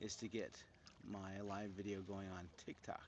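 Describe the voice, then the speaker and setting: A man talks with an American accent. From US Midwest, Cleveland, Ohio. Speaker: handpan musician, livestreamer. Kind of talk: casual livestream chat. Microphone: new microphones, being tested; a bit quiet.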